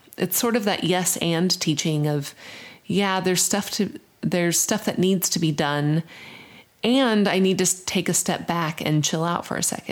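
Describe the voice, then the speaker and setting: A woman speaks in a plain, everyday voice at a medium pitch with ordinary pitch variation. Her loudness stays very even, on a very clean recording with a silent background. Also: moderate pace. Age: 30s. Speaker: podcast co-host, spiritual director. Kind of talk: casual conversation.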